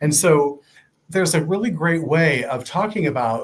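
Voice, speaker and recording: A man speaks in an American accent at a moderate pace. His voice is somewhat breathy with ordinary pitch variation. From Ohio. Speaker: nonprofit fundraising director. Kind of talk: interview.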